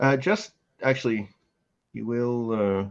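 Slowly and with a clear, smooth tone, a man talks at a medium pitch. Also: ordinary pitch variation.

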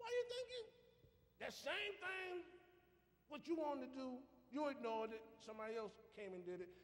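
An animated man at an extremely high pitch, with very wide pitch swings, a fairly quick pace, and long, frequent pauses. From US South. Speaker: preacher. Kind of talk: sermon. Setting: church. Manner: animated, call-and-response preaching with emphatic delivery. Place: church. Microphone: camera far.

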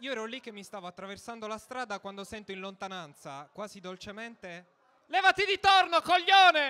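In a raised, projected voice, a man talks fairly quickly at a high pitch, his bright, sharp tone swinging very widely in pitch and greatly in loudness. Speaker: stand-up comedian. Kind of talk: stand-up comedy, scripted-sounding monologue. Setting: stage with audience. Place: stage. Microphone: handheld.

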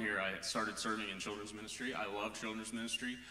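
Audible room echo surrounds a man with an American accent who speaks very fast in a fairly low voice. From northwest Missouri. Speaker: church elder candidate. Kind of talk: interview on stage. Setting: church. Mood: warm, enthusiastic. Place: church.

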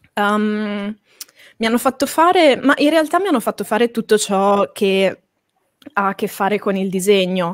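Speaking at a fairly slow pace with long, frequent pauses, a woman uses a fairly high pitch and lively intonation in a dry sound with no echo and a quiet background. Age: 20s. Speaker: manga artist and school director; guest. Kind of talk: interview. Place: home room. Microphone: studio mic.

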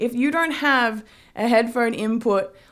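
A woman's voice shows ordinary pitch variation at a moderate pace, with a quiet background. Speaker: tech reviewer. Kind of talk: casual review vlog. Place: home room. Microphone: phone near.

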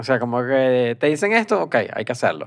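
A man talks with lively intonation. The background is quiet. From Venezuela. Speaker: comedy podcast co-host. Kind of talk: casual chat. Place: studio. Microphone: studio mic.

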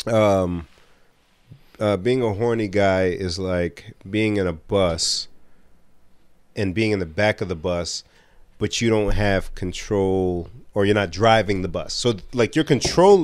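Against a quiet background with a dry sound and no echo, a man speaks at a very slow pace with long, frequent pauses, a fairly low pitch and ordinary pitch variation. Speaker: podcast co-host. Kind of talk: casual chat. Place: studio. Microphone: studio mic.

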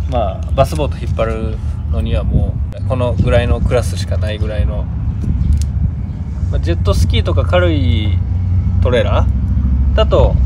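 A man speaks at a moderate pace with long, frequent pauses. The sound is dry with no echo, over loud background noise. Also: ordinary pitch variation. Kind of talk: product explanation. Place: street. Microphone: phone near.

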